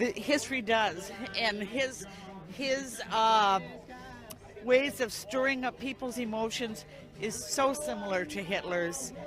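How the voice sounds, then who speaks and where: A woman with an American accent speaks very slowly at a fairly high pitch with lively intonation and long, frequent pauses, amid audible room echo and noticeable background noise. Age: 70s. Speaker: protester at a political rally. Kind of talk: street interview. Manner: halting.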